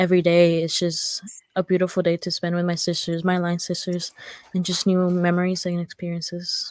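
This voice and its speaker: In a Spanish accent, a woman speaks at a moderate pace with a fairly low pitch, the sound dry and close with no echo. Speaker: nursing student, sorority member. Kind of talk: casual chat.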